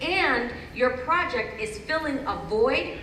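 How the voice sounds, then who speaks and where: A woman talks over noticeable background noise, with audible room echo. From Panama. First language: Spanish. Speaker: TV network founder and showrunner. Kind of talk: panel discussion.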